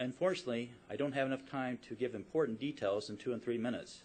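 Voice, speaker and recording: A man with a medium pitch rattles along at a very fast pace. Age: 60s. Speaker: business owner. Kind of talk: public testimony. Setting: public hearing. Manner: formal.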